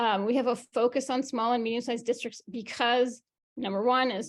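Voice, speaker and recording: A woman with an American accent talks at a fairly quick pace and a fairly high pitch. The background is quiet. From New York. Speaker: education sustainability company founder. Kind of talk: presentation on video call. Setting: video call. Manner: fast.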